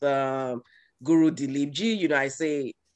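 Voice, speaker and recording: A man's fairly high voice in a Yoruba accent, dry and close with no echo, over a quiet background. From Nigeria, Yoruba. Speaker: guest speaker at a yoga event. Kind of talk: talk. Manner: hesitant, many fillers.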